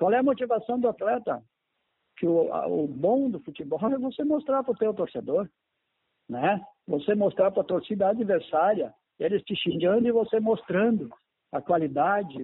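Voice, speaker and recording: Swinging very widely in pitch, a man with a high voice talks at a moderate pace with long, frequent pauses. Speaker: former footballer and coach. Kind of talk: interview.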